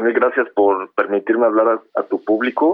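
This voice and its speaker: A man with a Mexico City accent at a moderate pace. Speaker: film director. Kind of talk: interview.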